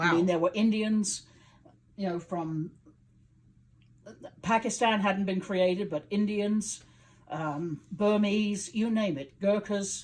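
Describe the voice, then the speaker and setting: Speaking with a British accent, a woman at medium pitch talks at a very slow pace with fairly even intonation and long, frequent pauses. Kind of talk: interview answer.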